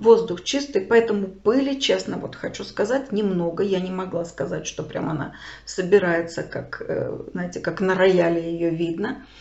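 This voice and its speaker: A woman's unremarkable speaking voice at medium pitch, moderate pace and ordinary pitch variation, with big swings in loudness. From Kharkiv, Ukraine. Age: 60s. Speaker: video blogger, refugee. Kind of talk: personal storytelling to camera. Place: home room. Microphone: phone near.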